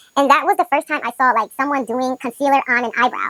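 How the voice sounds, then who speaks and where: A woman projects a raised, high-pitched voice with a bright, sharp tone in a dry, close sound with no echo. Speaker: beauty vlogger. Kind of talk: casual chat. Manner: fast.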